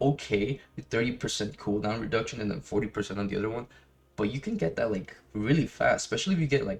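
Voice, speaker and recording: Speaking at a very fast pace, a man with a non-native accent uses a medium pitch and ordinary pitch variation. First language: not English. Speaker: gaming youtuber. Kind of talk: gameplay guide commentary. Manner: casual, halting with many fillers.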